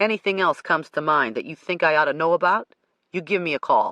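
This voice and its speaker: In a put-on character voice, the speaker growls at a middle pitch and a very fast pace against a quiet background. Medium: read story. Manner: blunt.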